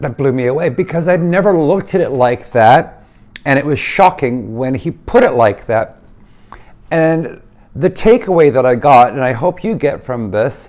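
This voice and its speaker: With lively intonation and a fairly high pitch, a man speaks at a moderate pace in an ordinary speaking voice. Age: 60s. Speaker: lifestyle vlogger. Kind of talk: casual vlog monologue. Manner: conversational, with fillers and restarts.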